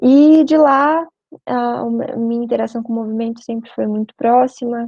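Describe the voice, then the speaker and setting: With a dark, mellow tone, a woman speaks at a fairly high pitch and a fairly slow pace. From Brazil, Curitiba (Paraná). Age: 20s. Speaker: veterinary student and spiritist youth speaker. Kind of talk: short talk / mini-lecture. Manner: conversational, informal.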